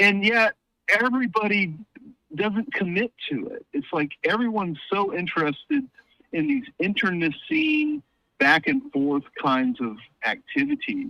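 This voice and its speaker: A man's raised, projected voice, high in pitch, with a bright, sharp tone, very wide pitch swings, a fairly slow pace and a dry, close sound with no echo. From US South. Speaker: political commentator, academic. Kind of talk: casual chat. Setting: phone call.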